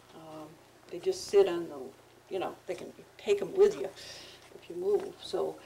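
A woman talks at a moderate pace. Light background noise sits under her voice. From upstate New York. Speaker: town supervisor chairing meeting. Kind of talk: town board meeting. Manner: soft-spoken, hard to hear. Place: meeting room. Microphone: camera far.

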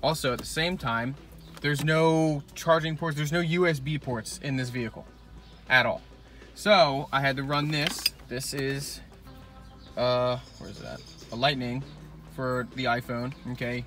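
Speech comes at a fairly slow pace with long, frequent pauses. The sound is dry with no echo, and faint music plays behind it. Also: man, fairly even intonation. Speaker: car mod vlogger. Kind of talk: casual vlog chat. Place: car. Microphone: phone near.

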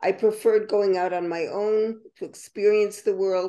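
A woman with an American accent speaks fairly slowly in a dark, mellow tone over a quiet background. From United States. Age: 80s+. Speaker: writer and poet. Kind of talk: interview answer. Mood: calm, reflective. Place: home room. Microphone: webcam.

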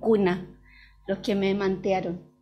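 A woman speaking at a very slow pace over light background noise. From Chile. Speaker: early childhood educator and doula; early childhood educator. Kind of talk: book presentation talk. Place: hall. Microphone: podium.

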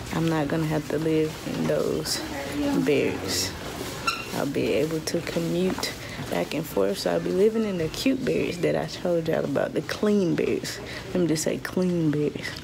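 There is noticeable background noise. A woman speaks at a moderate pace. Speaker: soldier vlogger. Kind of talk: casual vlog chat. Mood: relieved, grateful. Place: hall. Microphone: phone near.

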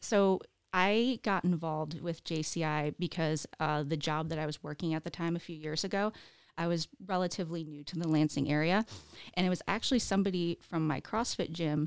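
A woman at a fairly low pitch and moderate pace, with ordinary pitch variation, in a dry sound with no echo and a quiet background. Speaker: podcast guest. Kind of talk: interview answer. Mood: friendly, relaxed storytelling. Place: studio. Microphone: studio mic.

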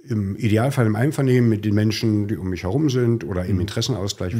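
Speaking very fast, a man uses a fairly low, dark and mellow voice with ordinary pitch variation, recorded very cleanly against a silent background. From East Germany. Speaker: executive of a social-welfare organisation. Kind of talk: conversational podcast. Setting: studio.

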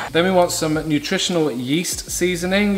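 A man speaks over noticeable background noise. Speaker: home cook host. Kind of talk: cooking tutorial. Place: kitchen.

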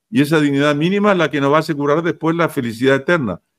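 In a quiet background, a man speaks at a fairly high pitch. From Chile. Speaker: guest commentator. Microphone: video call.

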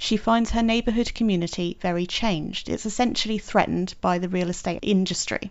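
Fairly quick speech from a woman, her pitch varying in an ordinary way. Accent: British. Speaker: podcast host. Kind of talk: interview.

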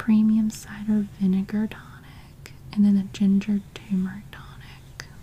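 Soft-spoken and at a very slow pace, the speaker talks over light background noise. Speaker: catalog reviewer. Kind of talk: soft ASMR-style catalog read-through. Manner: soft-spoken ASMR murmur.

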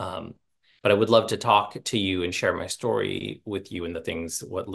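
Against a quiet background, a man speaks at a very deep, low pitch with fairly even intonation. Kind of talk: casual talk to an audience. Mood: warm, humorous, self-deprecating. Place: home room. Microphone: earbuds.

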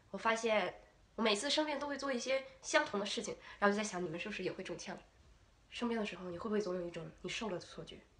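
A very fast, animated and playful woman's voice at medium pitch with ordinary pitch variation. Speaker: vlogger, university student. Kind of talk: casual vlog monologue. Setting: video recording to camera. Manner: animated, playful.

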